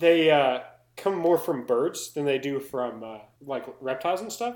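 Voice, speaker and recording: A man with an American accent and an unremarkable speaking voice talks at a moderate pace with ordinary pitch variation. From US South. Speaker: podcast co-host. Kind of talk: casual chat. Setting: home recording, laptop mic.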